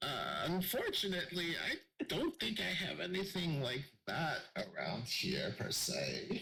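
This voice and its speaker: A man's put-on character voice, high in pitch, at a fairly slow pace with very even loudness. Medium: actual play. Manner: folksy, calls people dearie.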